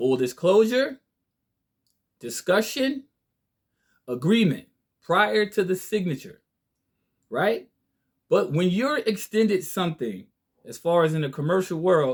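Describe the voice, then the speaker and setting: At a high pitch for a man, he speaks at a fairly slow pace with very wide pitch swings and long, frequent pauses, on a very clean recording with a silent background. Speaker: online legal and finance commentator. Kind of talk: monologue lecture to viewers. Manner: slow, deliberate; passionate.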